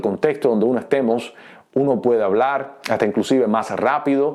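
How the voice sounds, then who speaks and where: The voice has a dark, mellow tone and a Cuban accent. It moves at a moderate pace with lively intonation. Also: man. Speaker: pastor. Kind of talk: teaching talk. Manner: hesitant fillers.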